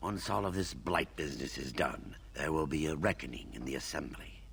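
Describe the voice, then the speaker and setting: A man puts on a character voice with a very deep, low pitch. He talks at a fairly quick pace over clear background noise. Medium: video game. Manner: blunt, coarse.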